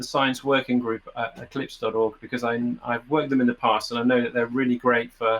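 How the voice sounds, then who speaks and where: A man with a British accent, medium in pitch and moderate in pace. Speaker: software developer. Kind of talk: conference talk. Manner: halting.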